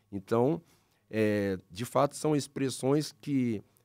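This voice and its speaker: A man speaks against a quiet background. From Paraná, Brazil (Londrina); Paraná, Brazil. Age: 40s. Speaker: pastor. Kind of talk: casual religious discussion; interview answer. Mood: calm, explanatory. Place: studio. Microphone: studio mic.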